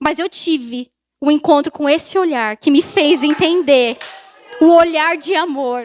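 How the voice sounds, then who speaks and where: Speaking at a fairly slow pace, a woman uses an extremely high pitch with ordinary pitch variation. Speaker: preacher. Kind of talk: sermon. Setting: church.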